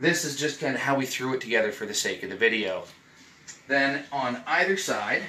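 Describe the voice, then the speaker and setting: There is audible room echo and light background noise. A man speaks with ordinary pitch variation. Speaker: travel vlogger. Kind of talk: casual room tour. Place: home room.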